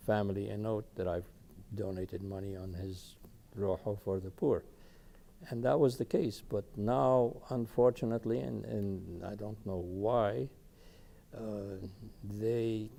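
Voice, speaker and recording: Speaking at a fairly slow pace with long, frequent pauses, a man uses a dark, mellow tone, a fairly low pitch and ordinary pitch variation. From Palestine, Ramallah. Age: 70s. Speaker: oral history interviewee, retired engineer. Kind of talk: oral history interview. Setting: videotaped interview. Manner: halting, with frequent fillers.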